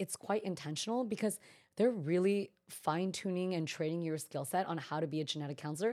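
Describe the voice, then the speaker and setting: A woman talks at a fairly quick pace in a dark, mellow tone with lively intonation. The recording is very clean, with a silent background. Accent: American. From US West Coast, Bay Area, Northern California. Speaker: event planner and genetic counselor. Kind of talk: interview conversation. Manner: calm.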